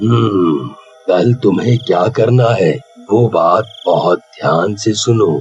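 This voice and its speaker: A man uses a cartoonish character voice at a medium pitch. He speaks at a very slow pace. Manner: calm, fatherly.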